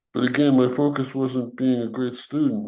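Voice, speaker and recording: A man's medium-pitched, monotone, flat delivery with an American accent, at a fairly quick pace, with audible room echo. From New York, Brooklyn. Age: 80s+. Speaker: civil rights veteran. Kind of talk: interview.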